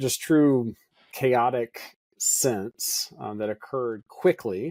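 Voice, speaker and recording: A man with an Appalachian accent talks in a dark, mellow tone. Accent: Southern US, Appalachian North Carolina. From Western North Carolina (Hendersonville). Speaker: pastor. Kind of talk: podcast interview.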